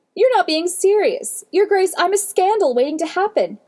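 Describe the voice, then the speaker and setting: Putting on a squeaky character voice at extremely high pitch, a woman talks at a moderate pace with lively intonation. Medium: read story. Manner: careful, restrained.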